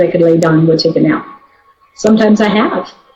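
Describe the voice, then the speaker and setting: A woman speaks at a medium pitch with ordinary pitch variation amid noticeable background noise. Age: 60s. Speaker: network marketing team member. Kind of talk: testimony. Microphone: poor sound quality.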